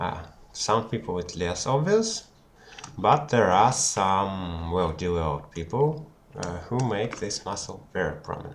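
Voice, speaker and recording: Speaking with a non-native accent, a man talks fairly slowly at a fairly low pitch with lively intonation. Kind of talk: anatomy tutorial homework. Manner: hesitant, unprepared.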